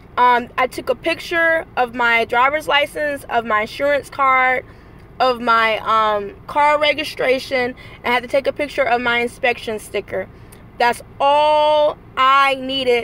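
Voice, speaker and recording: A woman speaks in a raised, projected voice at a high pitch. Her pitch varies in an ordinary way, with very even loudness. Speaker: vlogger and rideshare driver. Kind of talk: motivational vlog. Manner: high energy.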